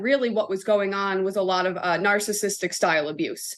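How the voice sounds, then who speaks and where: A woman with an American accent and an unremarkable speaking voice, medium pitch, moderate pace, quiet background. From US Northeast, Connecticut. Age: 20s. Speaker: chaplain and consultant. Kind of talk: podcast interview.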